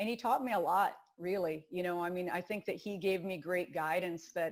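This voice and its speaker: A woman speaks with a Wisconsin accent at medium pitch. The recording is very clean, with a silent background. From Wisconsin, US Midwest. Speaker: rowing coach. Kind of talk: interview.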